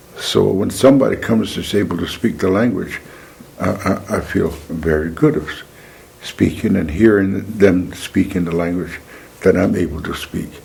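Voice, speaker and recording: There is noticeable background noise as a man talks at a moderate pace. His very deep, low pitch has ordinary pitch variation. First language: Mandan. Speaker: Native language elder. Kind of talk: interview testimony.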